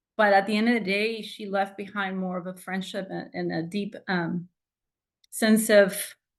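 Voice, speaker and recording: Against a quiet background, a woman with a Spanish accent speaks at a moderate pace and medium pitch in a monotone, flat intonation. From Mexico. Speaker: doctoral graduate. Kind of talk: tribute speech. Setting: video call. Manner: halting.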